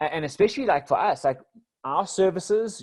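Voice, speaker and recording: Over a quiet background, a man with a South African accent speaks with lively intonation. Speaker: business coach. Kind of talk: podcast interview.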